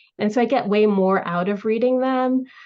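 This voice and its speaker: A woman with a plain, everyday voice, an American accent and fairly even intonation. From United States, Tamil family. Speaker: author. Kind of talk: casual interview chat.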